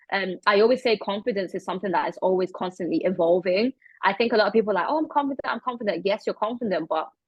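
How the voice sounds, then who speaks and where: Someone talks at a very fast pace with a British accent and lively intonation. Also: woman, medium pitch for a woman. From England. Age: 20s. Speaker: model and charity founder. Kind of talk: interview. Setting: video call.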